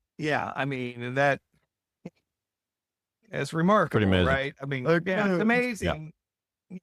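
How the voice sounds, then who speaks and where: At a moderate pace, this man speaks with a medium pitch. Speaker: podcast host. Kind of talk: podcast interview talk.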